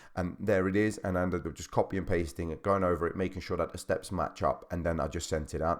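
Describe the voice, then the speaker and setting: Over a quiet background, the words come very fast with fairly even intonation. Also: man. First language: not English. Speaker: personal trainer; fitness coach. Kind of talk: tutorial. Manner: halting. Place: home room. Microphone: studio mic.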